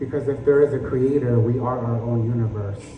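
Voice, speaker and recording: A moderate pace with fairly even intonation. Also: man. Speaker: spoken word poet. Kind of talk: spoken word poetry performance.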